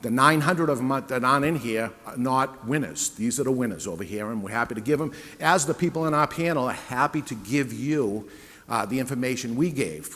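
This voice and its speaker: A man with a New England accent talks at a fairly quick pace in a medium pitch, his intonation lively. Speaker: cigar retailer and panel moderator. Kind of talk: sales pitch. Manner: conversational.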